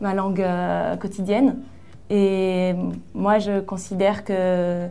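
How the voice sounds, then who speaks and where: Speaking very slowly, a woman's voice carries audible echo from the room. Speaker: writer. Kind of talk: casual interview.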